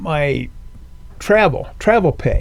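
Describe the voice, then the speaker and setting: A man is speaking. His voice sits high in pitch. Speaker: military veteran. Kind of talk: personal testimony. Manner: halting, many fillers.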